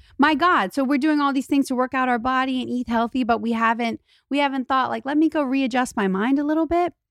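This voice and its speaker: Talking at a very fast pace with hardly any pauses, a woman with a high pitch shows ordinary pitch variation. The sound is dry and close with no echo, on a very clean recording with a silent background. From Louisiana. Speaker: model and influencer. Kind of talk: casual chat. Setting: studio.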